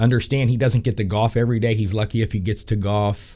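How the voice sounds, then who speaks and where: A man with an unremarkable speaking voice talks at medium pitch with fairly even intonation on a very clean recording with a silent background. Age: 60s. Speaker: golf instructor and podcast host. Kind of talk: casual podcast monologue. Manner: conversational with frequent fillers.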